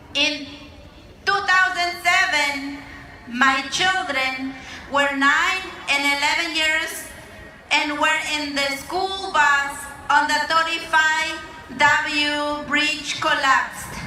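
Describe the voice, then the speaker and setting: Raising and projecting her high voice, a woman with a Mexican accent speaks very slowly with long, frequent pauses amid audible room echo. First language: Mazahua. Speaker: immigrant rights organizer. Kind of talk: rally speech.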